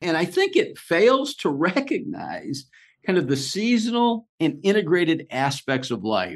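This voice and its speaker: A man's high voice at a fairly slow pace, with very wide pitch swings and a quiet background. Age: 60s. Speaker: podcast host. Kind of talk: casual conversation.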